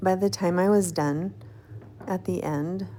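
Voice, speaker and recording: A woman with a fairly low pitch and lively intonation talks in an ordinary speaking voice. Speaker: textile artist and YouTuber. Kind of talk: casual talk to camera, craft vlog. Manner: friendly, conversational.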